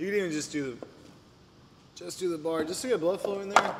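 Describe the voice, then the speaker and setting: Amid loud background noise, a man talks at a very fast pace with ordinary pitch variation. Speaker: fitness coach. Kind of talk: workout tutorial. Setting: gym. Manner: animated. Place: gym. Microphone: camera far.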